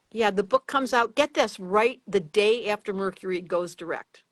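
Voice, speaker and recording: In a dry, close recording with no echo and a quiet background, a woman speaks at a moderate pace and medium pitch with ordinary pitch variation. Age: 60s. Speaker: astrologer. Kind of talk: casual chat. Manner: animated.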